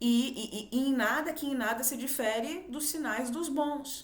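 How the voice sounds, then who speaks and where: Noticeable background noise and audible room echo surround a woman speaking at a very slow pace. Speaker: spiritual video host. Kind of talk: spiritual monologue. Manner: halting, stumbles over words.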